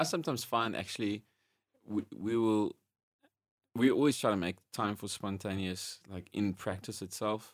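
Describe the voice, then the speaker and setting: A man speaks with an unremarkable speaking voice, fairly low in pitch, at a moderate pace with ordinary pitch variation. The recording is very clean, with a silent background. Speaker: podcast host and worship leader. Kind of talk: casual interview chat.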